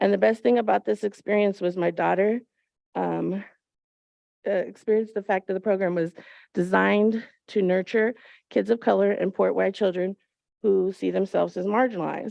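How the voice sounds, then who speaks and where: With a Californian accent, a woman talks at a moderate pace, leaving long, frequent pauses. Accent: Californian American English. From Antelope Valley, Southern California. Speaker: parent, public commenter. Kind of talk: public comment at board meeting. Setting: school board meeting.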